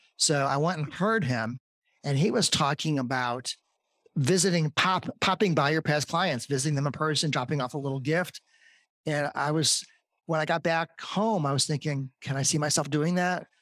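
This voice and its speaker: On a very clean recording with a silent background and a dry, close sound with no echo, a man speaks at a fairly high pitch and a moderate pace with ordinary pitch variation. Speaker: real estate agent. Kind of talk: interview. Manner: soft-spoken.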